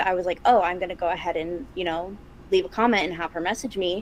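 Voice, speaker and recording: With an American accent, a woman talks in a normal speaking voice. Her pitch is medium, with ordinary variation. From Chicago, US. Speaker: podcast co-host, practicing witch. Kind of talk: casual chat.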